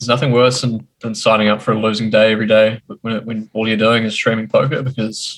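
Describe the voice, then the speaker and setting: Someone speaks at a very fast pace in a New Zealand accent. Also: man. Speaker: poker streamer. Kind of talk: interview.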